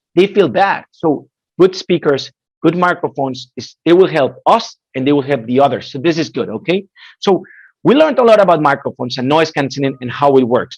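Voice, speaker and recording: Fairly quick and lively in intonation, a man with a fairly high pitch talks with a Spanish accent. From Spain, Madrid. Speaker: headset product specialist. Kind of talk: webinar presentation. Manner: animated.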